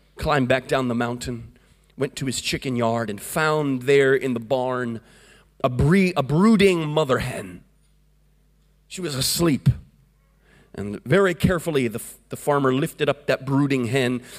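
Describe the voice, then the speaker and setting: An American-accented man at medium pitch, with long, frequent pauses and music in the background. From US, Florida. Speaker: evangelist. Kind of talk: Pentecostal revival sermon, storytelling to a congregation. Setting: church service with congregation. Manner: fervent, rhythmic preaching with call-and-response amens.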